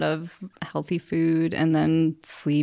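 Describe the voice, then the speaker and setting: A woman with an American accent in a dry, close sound with no echo, over a very clean, silent background. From northwest Illinois, US Midwest. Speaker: amateur cyclist and fundraiser. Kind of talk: casual interview.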